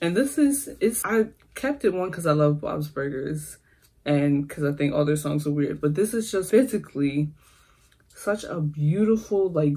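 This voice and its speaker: Somewhat breathy and dark, mellow in tone, a woman talks at a fairly slow pace. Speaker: YouTuber. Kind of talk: casual vlog talk.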